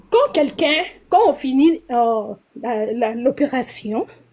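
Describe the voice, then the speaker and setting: A woman with a high voice and a dark, mellow tone speaks with lively intonation. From DR Congo. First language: Lingala or English (speaking French). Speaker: nurse, live stream caller. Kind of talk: live stream call-in. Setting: TikTok live. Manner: halting, hesitant.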